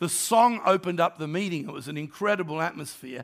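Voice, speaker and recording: In a raised, projected voice with a bright, sharp tone, a man with an Australian accent talks at a fairly quick pace with lively intonation, recorded very cleanly against a silent background. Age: 60s. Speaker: pastor. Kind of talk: sermon. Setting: church.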